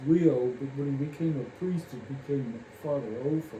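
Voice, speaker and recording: A man with a Midwestern US accent talks with ordinary pitch variation. Audible room echo and noticeable background noise are present. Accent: US Midwest. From Kansas. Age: 80s+. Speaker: family elder recalling memories. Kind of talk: oral history interview. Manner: halting, many fillers.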